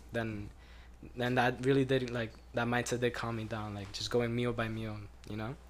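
A man speaks in a medium pitch at a moderate pace. His intonation is monotone and flat. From Colombian family background. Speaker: podcast host. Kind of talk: casual chat.

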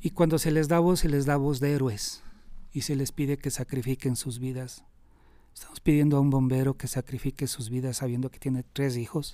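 A man speaks in a dark, mellow tone with fairly even intonation. His loudness swings widely. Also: moderate pace. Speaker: rescue worker and emergency operator. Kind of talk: interview. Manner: halting, with frequent repetitions.

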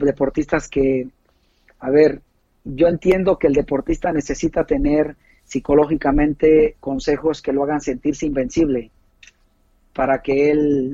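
Fairly high-pitched male voice, dark and mellow in tone, at a fairly slow pace, dry and close with no echo. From Mexico, Puebla. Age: 40s. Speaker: taekwondo coach. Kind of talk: interview. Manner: halting.

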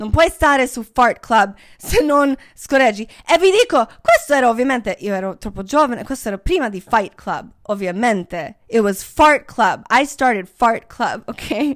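A woman with a non-native accent speaks in a high voice at a fairly slow pace, with hardly any pauses. The recording is very clean, with a silent background. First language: not Italian (speaking Italian). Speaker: podcast host. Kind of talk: casual monologue.

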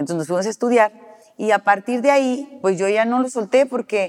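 A woman talks at a very fast pace. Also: dry, close sound with no echo. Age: 60s. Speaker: celebrity hair stylist. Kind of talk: interview conversation.

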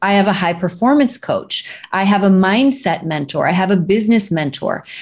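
A woman talks at a moderate pace in a medium pitch, her voice somewhat breathy. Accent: American. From US Midwest, Missouri. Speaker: speaking coach and director. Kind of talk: interview.

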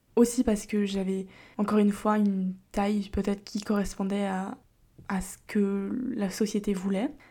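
A woman's somewhat breathy, dark and mellow voice, fairly slow and flat in a monotone, on a very clean recording with a silent background. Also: medium pitch for a woman. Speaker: podcast host. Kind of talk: casual solo monologue. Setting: home recording. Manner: speaking more quietly than usual.

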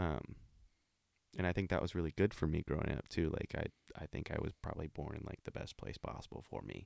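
In an American accent, a man with a very deep, low pitch and vocal fry talks at a fairly quick pace with fairly even intonation, the sound dry and close with no echo. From Olympia, Washington, US Pacific Northwest. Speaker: person in addiction recovery. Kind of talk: casual interview, personal testimony.

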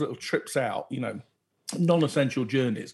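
The man talks fairly quickly in a somewhat breathy voice. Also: very clean recording, silent background. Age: 50s. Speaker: podcast co-host. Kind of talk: casual chat.

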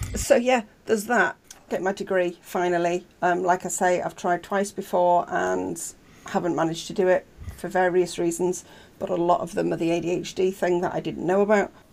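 Speaking at a moderate pace, a woman with a fairly low pitch and vocal fry keeps her intonation fairly even. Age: 40s. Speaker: university student and streamer. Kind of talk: casual interview chat. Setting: video call from a blanket fort.

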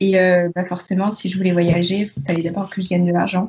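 A somewhat breathy woman's voice at a fairly quick pace with fairly even intonation. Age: 20s. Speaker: history student and book youtuber. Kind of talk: casual chat.

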